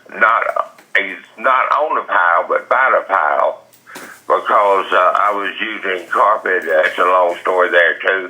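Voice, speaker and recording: This man has an American accent and talks at a fairly slow pace. Background noise is noticeable. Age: 70s. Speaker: defendant heading to trial, rural property owner. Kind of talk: phone interview answer. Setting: phone line.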